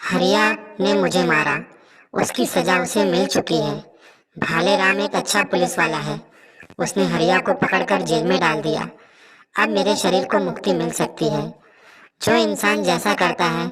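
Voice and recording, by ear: This is a cartoonish character voice. It sits at a middle pitch. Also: moderate pace.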